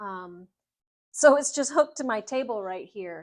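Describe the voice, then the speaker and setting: The voice is a woman's, pitched fairly high. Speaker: home decor and upholstery creator. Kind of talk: live stream casual talk. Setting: enclosed patio room at home, live stream. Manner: loud, projecting.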